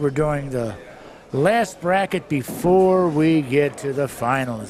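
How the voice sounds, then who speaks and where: Noticeable background noise fills this recording. A man talks with ordinary pitch variation. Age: 70s. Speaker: bowling tournament commentator. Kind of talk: live commentary. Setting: bowling alley.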